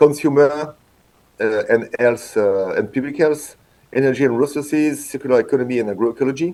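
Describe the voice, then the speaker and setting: This man's voice has a dark, mellow tone and medium pitch. He talks at a moderate pace. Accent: French. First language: French. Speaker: veterinarian and industry innovation manager. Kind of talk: conference talk. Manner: halting, many hesitations and restarts.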